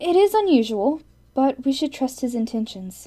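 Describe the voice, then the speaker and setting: A female-sounding voice puts on a character voice at a high pitch and a moderate pace. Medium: audio drama. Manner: stern, composed.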